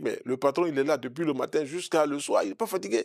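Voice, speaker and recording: A man talks at a very fast pace with a fairly high pitch and ordinary pitch variation. The recording is very clean with a silent background and a dry, close sound with no echo. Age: 60s. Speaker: naturopath. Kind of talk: interview.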